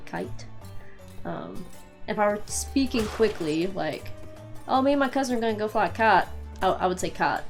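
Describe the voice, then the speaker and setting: In an Eastern Kentucky accent, a woman speaks at a moderate pace in a relaxed tone, with long, frequent pauses and music in the background. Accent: Appalachian, Eastern Kentucky. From Eastern Kentucky, USA. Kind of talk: casual gameplay commentary with word-list reading. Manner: casual, relaxed.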